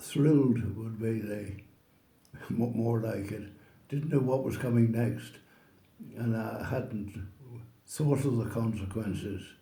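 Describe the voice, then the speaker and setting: With a Northern Irish accent, a man with a medium-pitched, somewhat breathy voice and dark, mellow tone talks at a very slow pace in fairly even intonation, taking long, frequent pauses. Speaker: oral history interviewee. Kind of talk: interview answer.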